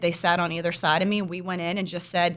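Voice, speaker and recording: A woman's bright, sharp tone at a very fast pace. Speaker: school board candidate. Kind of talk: interview. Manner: casual, many fillers.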